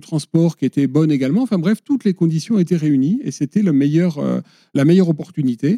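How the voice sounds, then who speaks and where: Recorded with a dry, close sound and no echo, a man speaks at a fairly high pitch with a dark, mellow tone. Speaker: conservation association director. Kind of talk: podcast interview. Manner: hesitant, with many fillers and repetitions.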